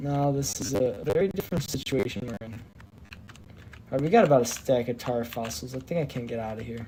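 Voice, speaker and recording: Speech moves fairly quickly against noticeable background noise. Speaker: gaming streamer. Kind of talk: casual chat. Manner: slurring words.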